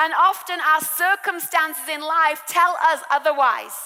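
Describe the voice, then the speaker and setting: A woman with an English accent projects a raised voice at an extremely high pitch. She speaks at a fairly slow pace with fairly even intonation. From England. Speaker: preacher. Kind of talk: sermon.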